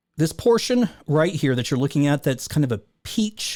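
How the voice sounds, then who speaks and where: In a very clean recording with a silent background, a man has a plain, everyday voice pitched fairly high. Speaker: numerology video creator. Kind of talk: screen-share tutorial.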